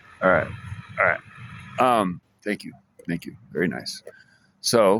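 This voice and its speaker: A man talks fairly slowly at a fairly low pitch, with lively intonation and big swings in loudness. His tone is bright and sharp, with vocal fry. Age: 50s. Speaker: vlogger. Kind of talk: casual monologue vlog. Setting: library. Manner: halting, many restarts and fillers.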